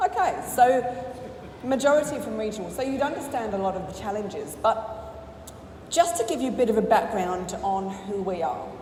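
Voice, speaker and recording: A woman with an English accent, fairly high-pitched, at a fairly quick pace, with very wide pitch swings, big swings in loudness, long and frequent pauses, audible room echo and noticeable background noise. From England. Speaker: business owner. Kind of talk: conference talk.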